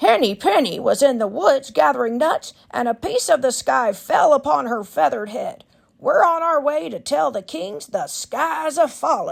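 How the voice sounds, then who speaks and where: A woman speaks in a high-pitched, put-on character voice at a moderate pace, with hardly any pauses. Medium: read story.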